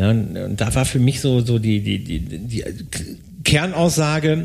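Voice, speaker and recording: A somewhat breathy voice with lively intonation at a fairly slow pace. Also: man. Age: old. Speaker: podcast co-host, tax/IT audit consultant. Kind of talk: casual chat.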